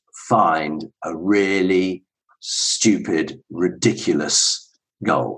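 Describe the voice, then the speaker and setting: A man with a southern English accent speaks at a fairly low pitch. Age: 50s. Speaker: ultra runner and entrepreneur. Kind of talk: casual interview chat.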